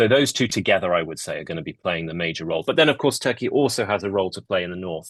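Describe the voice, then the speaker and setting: A man with a British accent talks very fast in a fairly low voice, his intonation lively and his loudness swinging widely. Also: hardly any pauses. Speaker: think tank analyst. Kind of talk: panel discussion.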